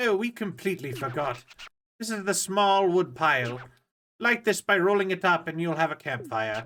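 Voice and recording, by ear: Someone reading aloud in a natural voice, with a quiet background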